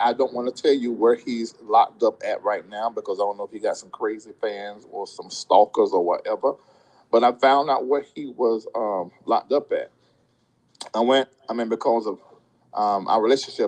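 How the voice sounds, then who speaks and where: In a dry, close sound with no echo, a man speaks with big swings in loudness. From US South. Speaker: YouTube commentator. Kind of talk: live stream commentary. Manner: casual, conversational.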